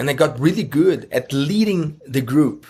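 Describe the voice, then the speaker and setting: A man speaks with a Brazilian Portuguese accent. His delivery is somewhat breathy, with lively intonation. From Brazil, Rio de Janeiro. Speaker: online course entrepreneur and mentor. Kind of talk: interview. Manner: halting.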